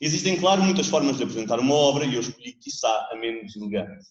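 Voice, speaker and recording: A man with a European Portuguese accent speaks very fast at a fairly high pitch. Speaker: theatre director presenting a book. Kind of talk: book presentation speech. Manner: formal.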